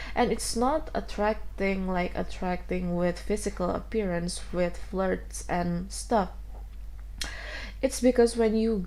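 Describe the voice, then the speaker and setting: A woman with a non-native accent talks at a fairly slow pace. The room echo is audible. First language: not English. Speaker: tarot reader. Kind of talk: tarot reading. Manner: halting.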